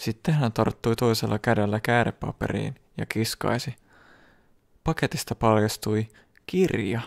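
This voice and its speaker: A man with a medium pitch and a calm, soothing tone speaks at a fairly slow pace with long, frequent pauses and ordinary pitch variation, the sound dry and close with no echo on a very clean recording with a silent background. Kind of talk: bedtime story reading aloud. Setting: ASMR video, close microphone. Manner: slow, soft-spoken, calm and soothing narration; even, gentle pacing with a hushed, intimate tone.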